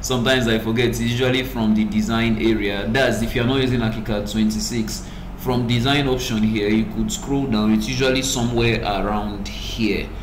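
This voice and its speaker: A man's voice at very even loudness with hardly any pauses, amid audible room echo and noticeable background noise. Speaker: software tutorial creator. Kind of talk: tutorial. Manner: normally fast-talking.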